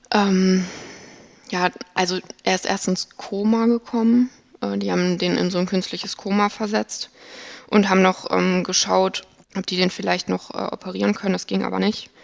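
A woman speaks at a moderate pace with long, frequent pauses. Noticeable background noise can be heard. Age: 20s. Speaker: operating room technical assistant. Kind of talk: personal testimony in interview.

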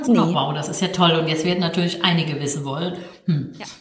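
Noticeable background noise fills the clip. Audible room echo is present too. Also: woman. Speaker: ethnologist and career counsellor, podcast co-host. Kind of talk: casual chat. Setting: video call.

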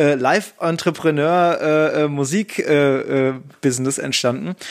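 With an ordinary speaking voice, a man talks at a fairly high pitch with ordinary pitch variation, in a very clean recording with a silent background. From Hamburg, northern Germany. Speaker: podcast host and music educator. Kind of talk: casual chat.

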